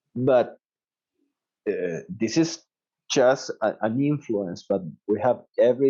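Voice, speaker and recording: A man with a medium pitch talks in a dark, mellow tone. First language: Spanish. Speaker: dentist and professor. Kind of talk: interview. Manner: halting.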